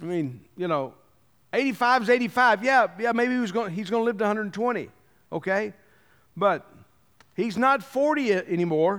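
A man's high-pitched voice at a fairly quick pace, lively in intonation, broken by long, frequent pauses. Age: 60s. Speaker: pastor. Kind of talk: sermon. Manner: conversational.

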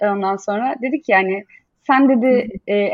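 A woman talks with lively intonation. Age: 30s. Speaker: business founder and designer. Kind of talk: casual interview. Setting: video call.

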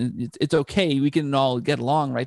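On a very clean recording with a silent background and a dry, close sound with no echo, a man with a Canadian accent and a plain, everyday voice talks at a fairly quick pace with a fairly high pitch. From Canada. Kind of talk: casual interview chat. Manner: frequent word repetitions.

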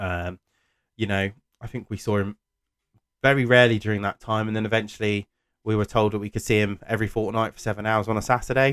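In a very clean, dry, close recording with a silent background and no echo, a man speaks very fast in a fairly low, flat monotone, with long, frequent pauses. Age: 30s. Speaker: podcast host. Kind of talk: solo monologue. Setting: home office. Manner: halting, many fillers.

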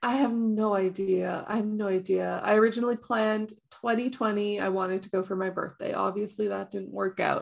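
At a fairly quick pace, a woman with a Canadian accent speaks in a monotone, flat intonation with hardly any pauses. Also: medium pitch for a woman. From Canada. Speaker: video game streamer. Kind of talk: casual chat.

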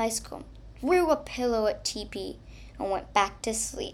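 A natural reading voice carries lively intonation.

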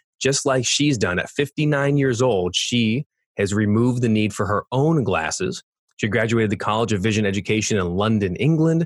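A Californian accent with ordinary pitch variation, in a dry, close sound with no echo. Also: man. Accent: Californian American. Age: 40s. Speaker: podcast host. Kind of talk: interview.

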